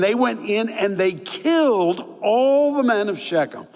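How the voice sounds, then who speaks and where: Against noticeable background noise, a man speaks in a high voice with very wide pitch swings. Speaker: pastor. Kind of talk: sermon.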